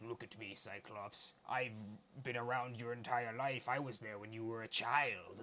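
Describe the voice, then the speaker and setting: Using a put-on character voice, a man speaks at a moderate pace in a medium pitch with monotone, flat intonation and big swings in loudness, against clear background noise. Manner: creepy, menacing.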